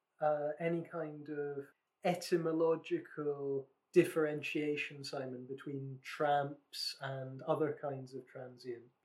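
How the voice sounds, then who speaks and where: With a Scottish accent, a man talks very slowly at a fairly high pitch, his loudness rising and falling in big swings. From Scotland, West Lothian. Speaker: podcast co-host. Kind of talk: casual chat.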